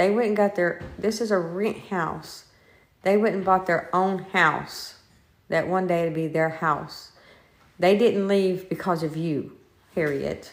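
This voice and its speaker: Audible room echo surrounds a woman speaking at a medium pitch, with fairly even intonation and a fairly slow pace. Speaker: paranormal investigator. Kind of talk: live-streamed ghost investigation. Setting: inside a house, live stream.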